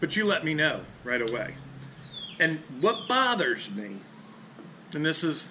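A man's fairly high voice with very wide pitch swings, a fairly slow pace, long and frequent pauses, and noticeable background noise. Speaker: fishing charter captain. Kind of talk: casual talk to camera. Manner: casual, blunt. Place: garage. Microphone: phone near.

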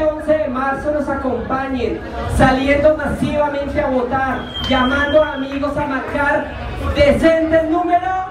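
A woman speaks with a high pitch at a fairly slow pace, her intonation monotone and flat. Noticeable background noise and audible room echo surround her. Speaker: candidate. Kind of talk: campaign speech. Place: bar.

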